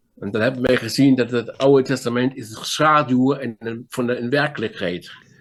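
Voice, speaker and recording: At a moderate pace, a man speaks in a medium pitch with fairly even intonation and big swings in loudness. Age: 60s. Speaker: pastor. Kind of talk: sermon. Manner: halting.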